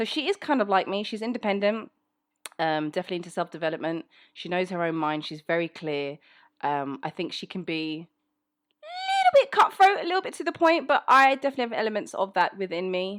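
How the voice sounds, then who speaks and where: A woman at medium pitch in a London accent, very fast pace, very wide pitch swings, big swings in loudness, and a dry, close sound with no echo. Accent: British, London. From England, South London. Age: 30s. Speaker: voice actor. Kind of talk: casual Q&A monologue. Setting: home recording setup. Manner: casual, conversational.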